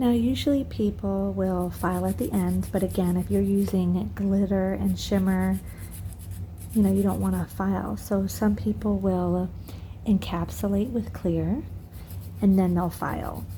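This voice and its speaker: A woman is whispering amid audible room echo. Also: fairly slow pace. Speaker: nail business owner doing tutorial. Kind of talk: tutorial. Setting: at home. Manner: casual.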